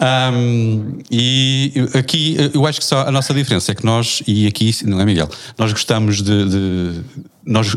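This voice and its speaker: A man speaks in a plain, everyday voice. His pitch is fairly low and varies in an ordinary way. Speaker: podcast moderator. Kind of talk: casual chat.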